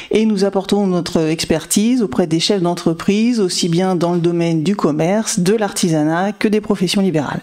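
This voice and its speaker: With noticeable background noise behind her, a woman speaks at a moderate pace in a medium pitch, with ordinary pitch variation, very even loudness and hardly any pauses. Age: 40s. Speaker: insurance manager. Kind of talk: podcast interview.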